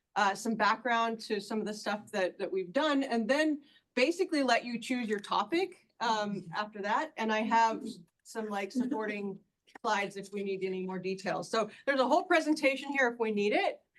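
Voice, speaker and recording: A woman with a fairly high pitch talks at a moderate pace with lively intonation. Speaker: paleoanthropologist, archaeologist. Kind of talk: public talk. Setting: community breakfast audience. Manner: loud, projecting; casual, filler-heavy.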